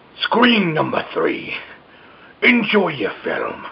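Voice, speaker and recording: A man's put-on character voice, extremely high in pitch and very slow. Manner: jokey, playful.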